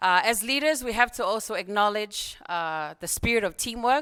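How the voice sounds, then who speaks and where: In a Tongan accent, a woman speaks at a moderate pace with a fairly high pitch and lively intonation. Her tone is bright and sharp, on a very clean recording with a silent background. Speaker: program fellow, group representative. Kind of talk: conference group report speech. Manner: formal, with filler hesitations.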